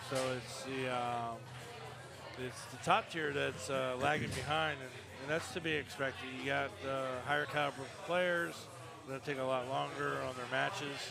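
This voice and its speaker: Music plays in the background and audible room echo surrounds the voice. A man of medium pitch speaks at a moderate pace with ordinary pitch variation. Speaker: foosball player and commentator. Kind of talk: live commentary chat. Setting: bar tournament. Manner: soft-spoken; halting. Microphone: too quiet.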